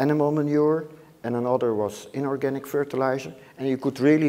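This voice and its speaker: Speaking with a Dutch accent, a man uses a dark, mellow tone at medium pitch with ordinary pitch variation and a fairly quick pace. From Netherlands. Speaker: microbiology professor. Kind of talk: lecture. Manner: halting.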